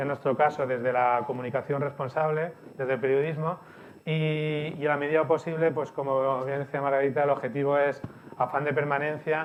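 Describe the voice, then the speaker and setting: A man with a Barcelona accent, fairly high-pitched, in a flat monotone at a fairly quick pace. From Spain, Barcelona. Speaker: CEO of a media company, speaker. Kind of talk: conference presentation. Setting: event hall with audience, streamed.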